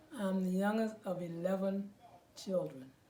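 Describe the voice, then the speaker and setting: Against noticeable background noise, a woman speaks at a moderate pace in a medium pitch. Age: 80s+. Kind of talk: interview answer.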